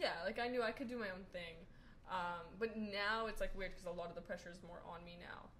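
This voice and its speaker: A woman with an American accent talks at a very fast pace in a medium pitch. Noticeable background noise runs underneath. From New York. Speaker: podcast guest. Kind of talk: casual chat.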